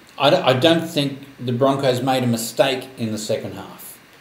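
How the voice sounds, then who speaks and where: Noticeable background noise sits under a man's medium-pitched voice, its intonation fairly even. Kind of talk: casual sports commentary. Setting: sports talk show or podcast.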